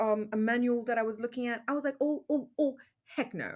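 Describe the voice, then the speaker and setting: A woman with a British accent at a moderate pace, on a very clean recording with a silent background. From England, London area. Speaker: podcast host. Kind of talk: casual interview conversation. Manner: hesitant, many fillers.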